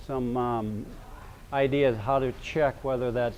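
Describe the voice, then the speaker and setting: A man talks with fairly even intonation. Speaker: knife collector presenter. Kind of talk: seminar presentation. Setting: seminar room with audience. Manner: hesitant, many fillers; loud to be heard.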